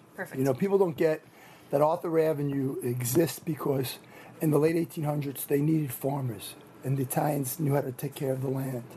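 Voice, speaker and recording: A man with a New York accent talks at a very fast pace in a fairly high pitch for a man, over noticeable background noise. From Rockland County, New York. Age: 50s. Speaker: deli owner. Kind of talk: on-location interview. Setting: indoor marketplace.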